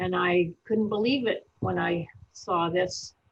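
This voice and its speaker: With ordinary pitch variation, a woman talks in a voice that is somewhat breathy. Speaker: veterinarian. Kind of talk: webinar presentation. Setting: online webinar.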